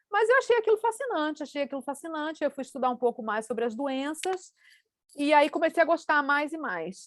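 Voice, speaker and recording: The sound is dry and close with no echo, and the speaker goes at a fairly quick pace with very wide pitch swings. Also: woman. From Brazil, Rio de Janeiro. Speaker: scientist. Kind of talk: panel talk.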